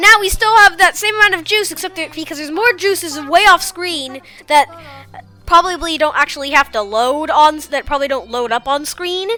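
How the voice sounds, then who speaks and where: Music in the background behind a woman's raised, projected voice, extremely high in pitch, with lively intonation and a fairly quick pace. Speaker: gaming youtuber. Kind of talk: let's play commentary. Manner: halting, many fillers.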